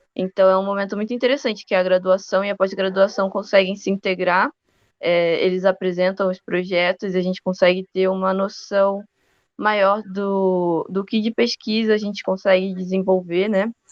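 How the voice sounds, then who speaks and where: With a Rio de Janeiro accent, a woman speaks at a medium pitch and moderate pace in a monotone, flat intonation. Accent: Rio de Janeiro accent, noticeable. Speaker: university student. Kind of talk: podcast interview.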